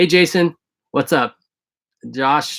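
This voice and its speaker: In a very clean recording with a silent background, the sound is dry and close with no echo. A man talks at a moderate pace with lively intonation. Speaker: vlogger living in a converted school bus. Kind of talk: live stream Q&A. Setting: live video stream. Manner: hesitant, many fillers.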